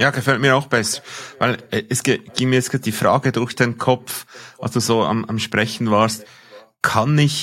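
A man speaks with a Swiss accent. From Switzerland. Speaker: podcast co-host. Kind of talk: casual discussion.

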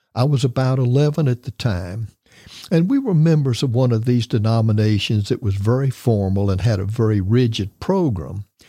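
A man with an American accent speaks at a moderate pace and medium pitch, his dark, mellow tone somewhat breathy and his intonation lively, the sound dry and close with no echo. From US South, Tampa, Florida. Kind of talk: interview testimony.

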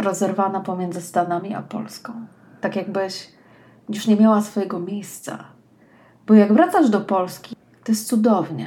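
This woman's medium-pitched voice has a warm, dark, mellow tone and is somewhat breathy. She speaks at a moderate pace with fairly even intonation. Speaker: personal development coach, podcast host. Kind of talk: scripted monologue, read aloud. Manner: warm, intimate direct address.

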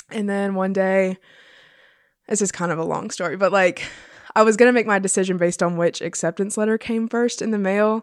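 With a plain, everyday voice and an American accent, a woman speaks at a medium pitch and a fairly quick pace with fairly even intonation over a quiet background. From South Carolina, Florence. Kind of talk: casual interview.

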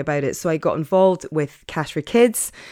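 A woman speaks in an Edinburgh accent at a very deep, low pitch. She moves at a fairly quick pace. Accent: Scottish (Edinburgh). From Scotland, Edinburgh. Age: 50s. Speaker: podcast host, life coach. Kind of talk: casual monologue. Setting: home study.

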